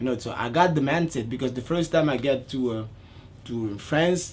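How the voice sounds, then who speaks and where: A man speaks with a Congolese accent and ordinary pitch variation. His voice is somewhat breathy. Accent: non-native, Congolese French. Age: 30s. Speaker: dance choreographer. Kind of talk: interview.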